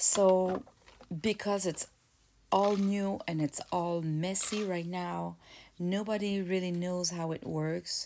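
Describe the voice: Slow and fairly even in intonation, a woman speaks with a fairly low pitch and a dark, mellow tone.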